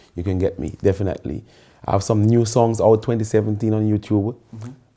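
A man speaks with a dark, mellow tone at a fairly low pitch and with fairly even intonation. The background is quiet. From Carriacou, Grenada; Grenada. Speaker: soca artist; guest. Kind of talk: casual interview. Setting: studio sofa. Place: home room.

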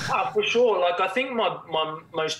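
With an Australian accent, a man talks at a fairly slow pace. Light background noise and audible room echo fill the recording. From Australia, Cairns (far north Queensland); Queensland, Australia. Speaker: former professional footballer; guest. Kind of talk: casual chat. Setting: remote call. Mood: reflective, candid. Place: home room. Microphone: video call.

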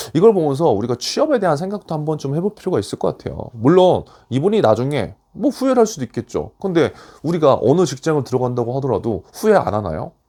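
A man with a fairly high pitch talks at a very fast pace with very wide pitch swings. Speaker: career coach YouTuber. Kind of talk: casual commentary on news article. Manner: conversational, with fillers.

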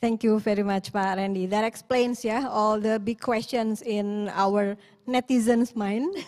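The speaker has an Indonesian accent and fairly even intonation. The pace is fairly slow. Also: woman, fairly high pitch for a woman. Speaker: event host. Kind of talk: webinar moderation.

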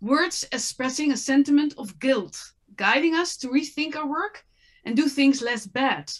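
Speaking fairly slowly with a Dutch accent, a woman talks at a high pitch with ordinary pitch variation and big swings in loudness, in a quiet background. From Netherlands. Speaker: apparel brand and impact consultant. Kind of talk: panel discussion. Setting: online video panel. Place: home room. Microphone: webcam.

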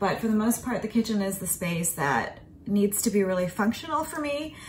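Lively intonation and a fairly quick pace mark this woman's speech, heard over light background noise. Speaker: home vlogger. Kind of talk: casual vlog chat. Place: kitchen. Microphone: phone near.

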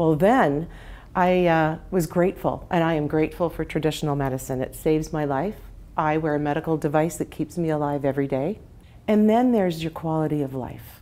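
A woman speaks at a fairly quick pace with a very deep, low voice for a woman. Her pitch varies in an ordinary way. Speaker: interview guest, health coach. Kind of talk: interview answer. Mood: warm, passionate. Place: home room. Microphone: lapel.

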